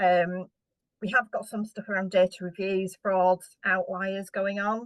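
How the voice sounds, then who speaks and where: A woman with a British accent is heard in a dry, close sound with no echo. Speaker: housing association director. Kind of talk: conference keynote presentation. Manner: fast.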